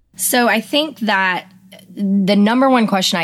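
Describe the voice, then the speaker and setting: A woman speaks with ordinary pitch variation. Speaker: podcaster and anti-trafficking advocate. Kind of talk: interview, conversational. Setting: remote call, on the road in a motorhome. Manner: animated, passionate.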